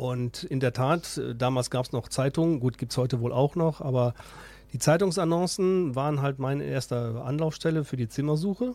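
A man with a Ruhr accent, a dark, mellow tone, fairly high pitch, ordinary pitch variation and a moderate pace. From Ruhr area, Essen. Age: 50s. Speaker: student fraternity member. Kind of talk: radio interview.

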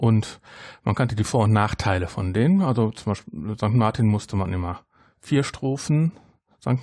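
A man with a normal speaking voice and medium pitch speaks at a moderate pace with lively intonation over a quiet background. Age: 40s. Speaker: podcaster. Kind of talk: casual chat.

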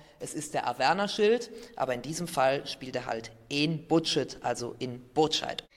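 Over noticeable background noise, a man with a fairly high pitch speaks fairly slowly with lively intonation. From Aachen, western Germany. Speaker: author and teacher. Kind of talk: interview answers.

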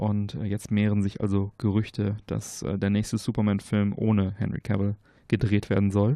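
This voice has a dark, mellow tone, monotone, flat intonation and a moderate pace. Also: man, fairly low pitch for a man, quiet background. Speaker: podcast host. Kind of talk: casual chat. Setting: sitting outdoors.

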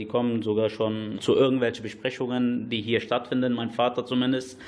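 At a fairly quick pace, a man talks in a medium pitch with an unremarkable speaking voice. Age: 20s. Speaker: football club chairman. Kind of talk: radio interview.

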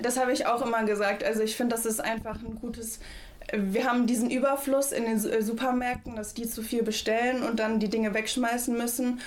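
Flat, monotone woman's voice, fairly high in pitch and fairly quick, amid noticeable background noise and audible room echo. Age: young. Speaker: federal volunteer at a food bank. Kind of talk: radio interview.

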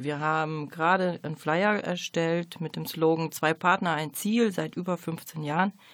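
With hardly any pauses, a woman with an unremarkable speaking voice talks at a fairly slow pace in a fairly low pitch and fairly even intonation. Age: 40s. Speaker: hospice coordination manager, social worker. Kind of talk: radio interview. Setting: radio studio. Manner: formal.

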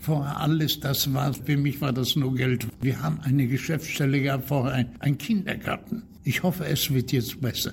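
A man with a fairly high pitch speaks at a moderate pace, barely pausing and keeping his loudness very even, over noticeable background noise. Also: ordinary pitch variation. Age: 80s+. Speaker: former player and referee. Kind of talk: interview.

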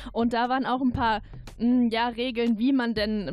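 Her intonation monotone and flat, a woman speaks at a fairly slow pace in a high pitch. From Pfalz, Zweibrücken. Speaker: radio editor. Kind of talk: casual chat.

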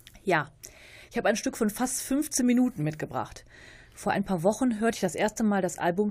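A woman's somewhat breathy voice of medium pitch, dark and mellow in tone, with ordinary pitch variation and a fairly quick pace. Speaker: radio host. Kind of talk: music presentation.

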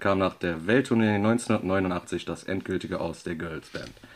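Here a man speaks in a fairly low voice with ordinary pitch variation. It is an unremarkable speaking voice. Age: 30s. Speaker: guest radio presenter. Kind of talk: scripted radio presentation.

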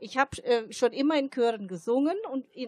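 A woman's high pitch and lively intonation at a moderate pace. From Germany. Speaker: choir member and community centre worker. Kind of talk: radio interview. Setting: outdoors at a Christmas market.

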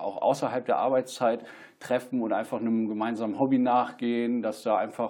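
A man talks at a moderate pace, his pitch medium. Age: 30s. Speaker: stand-up paddling instructor and office employee. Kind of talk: casual interview. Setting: studio. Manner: hesitant, many fillers.

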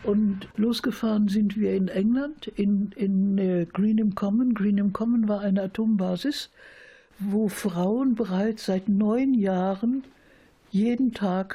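A woman speaks in a somewhat breathy voice with a dark, mellow tone and fairly even intonation over a quiet background. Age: 70s. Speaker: peace activist. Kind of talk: interview storytelling. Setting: at home.

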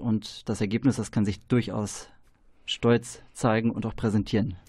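A man speaks with a dark, mellow tone at a medium pitch. The background is quiet. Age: 30s. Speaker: trainee educator. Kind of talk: radio interview. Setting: radio studio.

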